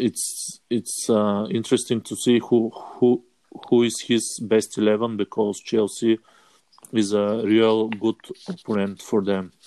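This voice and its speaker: A man with a Bulgarian accent speaks at a medium pitch in a dark, mellow tone. His delivery is monotone and flat, fairly slow, with long, frequent pauses. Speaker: fantasy football player. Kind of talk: casual chat. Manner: halting.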